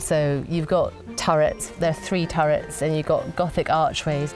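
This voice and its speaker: Ordinary pitch variation and a moderate pace come through with music in the background. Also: woman. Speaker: country house owner. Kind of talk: casual talk to camera. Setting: indoors in a historic house.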